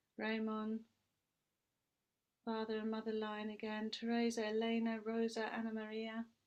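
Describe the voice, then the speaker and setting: Speaking in a British accent, a woman with a fairly high pitch delivers her words in a flat monotone. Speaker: priestess leading a ceremony. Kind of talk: ritual ceremony.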